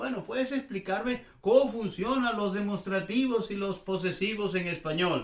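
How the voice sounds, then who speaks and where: Amid noticeable background noise, a man with a high pitch speaks at a moderate pace with hardly any pauses. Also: ordinary pitch variation. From Venezuela. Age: 60s. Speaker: language teacher. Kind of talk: casual explanatory chat. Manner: relaxed, conversational.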